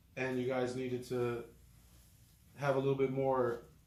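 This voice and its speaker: This man has an American accent and a medium pitch. He speaks at a moderate pace, with audible room echo. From Miami, Florida. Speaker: union electrician and interview host. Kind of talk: interview.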